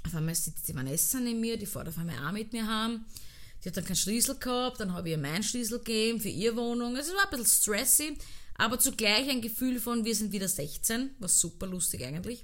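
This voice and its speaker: A woman talks at a very fast pace with a fairly high pitch and lively intonation, and audible room echo surrounds her. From Austria, Vienna (Donaustadt). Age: 30s. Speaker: podcast host, dancer. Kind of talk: casual solo podcast monologue. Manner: animated.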